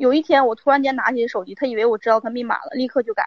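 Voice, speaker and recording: A woman with a high-pitched voice talks at a very fast pace, her pitch varying in an ordinary way. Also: dry, close sound with no echo. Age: 30s. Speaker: caller seeking advice on marriage. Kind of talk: call-in advice conversation. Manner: halting.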